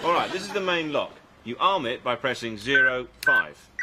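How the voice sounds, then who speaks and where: A man speaks at a moderate pace. Loud background noise is present throughout. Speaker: actor. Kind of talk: sitcom dialogue. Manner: distracted, hesitant. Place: shop.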